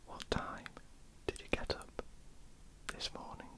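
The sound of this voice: At a fairly slow pace, the woman whispers her words.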